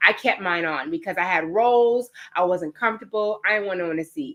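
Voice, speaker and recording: With a New York accent, a woman talks at a fairly quick pace in an animated tone and a fairly high pitch. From New York (Queens). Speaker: fitness trainer. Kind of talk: webinar presentation. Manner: fast.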